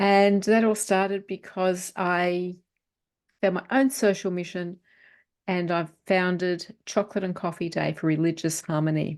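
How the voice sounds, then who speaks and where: A woman with an Australian accent speaks at a fairly slow pace in a medium pitch. Her intonation stays fairly even against a quiet background. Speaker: author and publisher. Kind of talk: interview.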